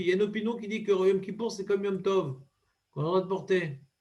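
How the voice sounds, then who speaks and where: Very fast and high-pitched, a man speaks with ordinary pitch variation. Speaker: rabbi teaching Talmud. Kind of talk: Talmud study class.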